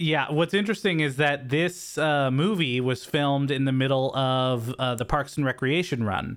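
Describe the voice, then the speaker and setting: A man with an American accent speaks in a plain, everyday voice at a fairly high pitch, with ordinary pitch variation. His moderate pace has hardly any pauses, and his loudness stays very even. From California. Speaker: podcast co-host. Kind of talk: casual chat.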